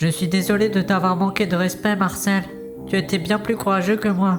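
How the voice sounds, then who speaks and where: A put-on character voice is heard over clear music in the background. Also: man, high pitch for a man, moderate pace. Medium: audio drama. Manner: stammering, fearful.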